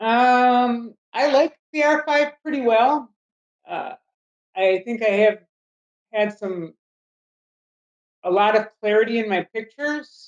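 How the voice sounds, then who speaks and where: Her voice fairly high and her intonation lively, a woman talks very slowly with long, frequent pauses. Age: 60s. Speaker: wildlife photographer. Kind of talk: interview. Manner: hesitant, with many fillers.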